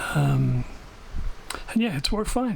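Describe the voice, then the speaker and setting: A man talks at a moderate pace while noticeable background noise is present. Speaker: vintage radio hobbyist. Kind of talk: casual talk to camera.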